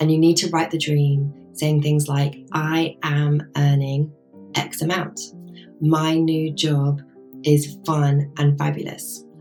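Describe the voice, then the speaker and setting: A woman with a very deep, low pitch, at a very slow pace with monotone, flat intonation, music in the background. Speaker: life coach and yoga teacher. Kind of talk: coaching talk to camera.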